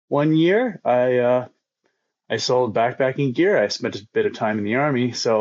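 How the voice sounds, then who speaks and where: Here is a man with a Canadian accent and a normal speaking voice. He sits at a medium pitch and keeps a moderate pace. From Eastern Canada, near Toronto. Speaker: long-distance skateboarder. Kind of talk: casual chat.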